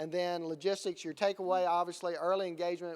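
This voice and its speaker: In a very clean recording with a silent background, a man with a Southern US accent talks at a fairly quick pace in a high pitch. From US Gulf Coast. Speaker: conference presenter. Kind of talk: conference presentation. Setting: stage with audience.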